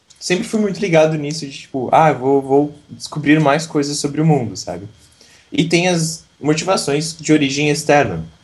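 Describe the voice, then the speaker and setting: A man with a plain, everyday voice talks at a moderate pace, his fairly high pitch showing ordinary pitch variation. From southern Brazil, Santa Catarina. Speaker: English teacher and YouTuber. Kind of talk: interview.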